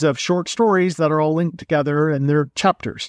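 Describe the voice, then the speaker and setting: Recorded very cleanly against a silent background with a dry, close sound and no echo, a man speaks at a fairly high pitch with ordinary pitch variation in an unremarkable speaking voice. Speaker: podcast host. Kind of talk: casual interview.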